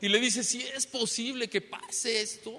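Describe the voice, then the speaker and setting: A man's voice over noticeable background noise. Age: 60s. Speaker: pastor. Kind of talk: sermon. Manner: repetitive filler questions.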